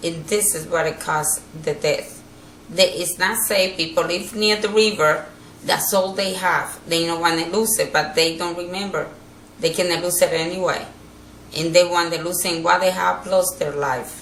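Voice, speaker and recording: A woman's fairly low voice at a moderate pace, with fairly even intonation, audible room echo and noticeable background noise. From Dominican Republic. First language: Spanish. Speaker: hurricane survivor. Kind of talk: interview. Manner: halting.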